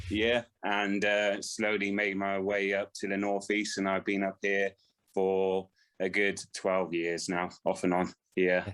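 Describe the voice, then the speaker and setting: A man with a West Country accent speaks fairly slowly in a fairly low voice, his intonation monotone and flat and his loudness very even. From West Country, England (Swindon). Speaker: ultra runner. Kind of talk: podcast interview. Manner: hesitant, many fillers.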